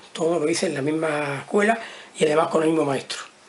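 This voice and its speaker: There is noticeable background noise. The speaker is a man. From Andalusia, Almería. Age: 70s. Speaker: retired teacher. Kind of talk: interview testimony. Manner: halting.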